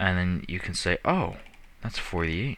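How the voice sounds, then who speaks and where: On a very clean recording with a silent background, a man mumbles in a bright, sharp tone. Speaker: gaming youtuber. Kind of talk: game commentary. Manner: mumbling; casual, hesitant.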